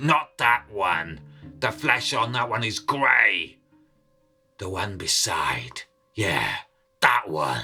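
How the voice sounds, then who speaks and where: A put-on character voice, raspy and low in pitch, at a very slow pace with long, frequent pauses over faint music in the background. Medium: read story. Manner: gruff, blunt.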